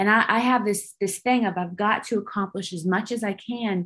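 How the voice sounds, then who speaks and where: A woman with an American accent, a normal speaking voice, medium pitch, fairly even intonation, moderate pace, and a quiet background. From Northern California. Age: 40s. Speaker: retired army officer and filmmaker. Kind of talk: interview conversation.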